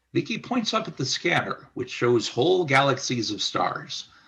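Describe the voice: Bright and sharp in tone, a man talks at a moderate pace with lively intonation, vocal fry and a slightly husky edge.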